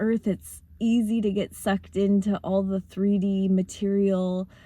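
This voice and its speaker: Speaking at a fairly slow pace, a woman uses a flat, monotone intonation at medium pitch. Her tone is dark and mellow. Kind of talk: motivational talk. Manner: casual, with fillers.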